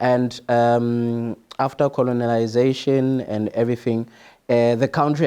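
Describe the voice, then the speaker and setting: A man with a South African accent speaks in a dark, mellow tone at a fairly slow pace. His intonation stays monotone and flat. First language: Sotho. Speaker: international student. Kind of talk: casual interview. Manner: hesitant, many fillers.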